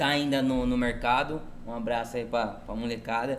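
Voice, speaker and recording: A man speaks at a fairly slow pace, with audible room echo around his voice. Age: 30s. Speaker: marketing agency owner. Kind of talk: casual chat. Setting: restaurant, in person.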